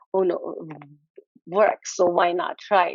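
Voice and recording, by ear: A woman speaks with a fairly low pitch and little pitch movement, recorded dry and close with no echo.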